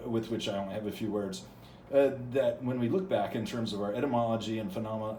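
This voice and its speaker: Amid audible room echo, a man with an American accent speaks at a very fast pace with ordinary pitch variation. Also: medium pitch for a man. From US Midwest. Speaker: channel host reading from academic books. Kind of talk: casual monologue; reading aloud with commentary. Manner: halting, many fillers and repetitions.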